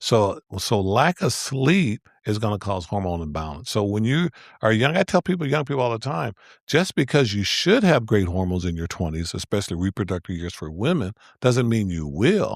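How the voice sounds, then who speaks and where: In a dry, close sound with no echo and a very clean recording against a silent background, a man speaks at a moderate pace and fairly low pitch. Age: 60s. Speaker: physician. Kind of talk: interview. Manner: halting.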